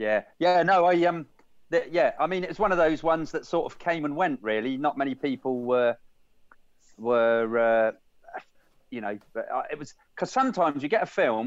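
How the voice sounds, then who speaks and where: A man speaks at a moderate pace in a fairly high voice. His pitch swings very widely and his loudness rises and falls sharply. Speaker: podcast co-host. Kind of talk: casual chat.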